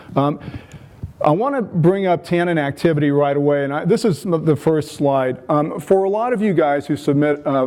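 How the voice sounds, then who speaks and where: With an American accent, a man talks at a moderate pace and a fairly high pitch, with ordinary pitch variation over noticeable background noise. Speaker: phenolic chemist, conference speaker. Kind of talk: lecture. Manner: frequent fillers, hesitant.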